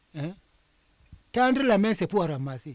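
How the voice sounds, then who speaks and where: A man speaking at a very slow pace. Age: 80s+. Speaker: traditional priest and elder. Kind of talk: interview. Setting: under a tent in a village.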